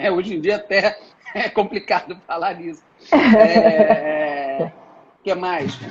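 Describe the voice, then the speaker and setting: A high-pitched man with a slight Carioca accent, very slow pace, long and frequent pauses, and ordinary pitch variation. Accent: mild carioca. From Brazil, Rio de Janeiro. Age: 40s. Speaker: tourism entrepreneur. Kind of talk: interview. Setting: live video stream. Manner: hesitant with many fillers.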